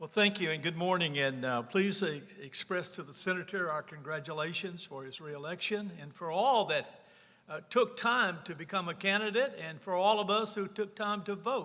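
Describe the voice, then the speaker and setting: A high-pitched man with a Louisiana accent, bright and sharp in tone, at a moderate pace, with ordinary pitch variation and big swings in loudness. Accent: Southern US (Louisiana). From rural north Louisiana. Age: 70s. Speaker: former state senator. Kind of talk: personal storytelling at a conference.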